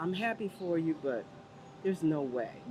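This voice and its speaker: The woman's intonation is lively and her pace moderate, with noticeable background noise throughout. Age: 70s. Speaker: Air Force veteran and world traveler. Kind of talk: interview answer.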